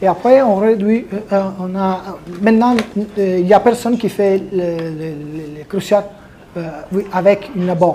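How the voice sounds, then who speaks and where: A man talks at a high pitch and a fairly slow pace, with ordinary pitch variation. His speech has long, frequent pauses. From Italy. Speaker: orthopedic surgeon. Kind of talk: conference presentation. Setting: conference hall with audience. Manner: halting.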